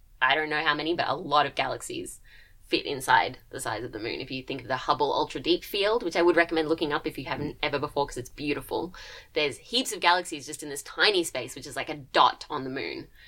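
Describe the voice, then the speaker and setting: A woman with an Australian accent speaks very fast in a bright, sharp tone, her loudness swinging widely. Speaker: PhD student in astronomy, co-host. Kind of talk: casual chat. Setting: studio.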